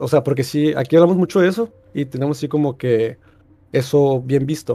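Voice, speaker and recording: Fairly quick speech from a man with a dark, mellow tone, fairly high pitch and ordinary pitch variation, on a very clean recording with a silent background. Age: 20s. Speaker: caller. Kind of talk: casual chat.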